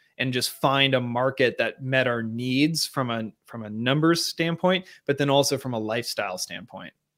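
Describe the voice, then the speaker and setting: Speaking in a plain, everyday voice with an American accent, a man keeps a medium pitch, ordinary pitch variation and a moderate pace with hardly any pauses, in a very clean recording with a silent background. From Seattle, Washington, US Pacific Northwest. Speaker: real estate agent and former Olympic rower. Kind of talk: interview.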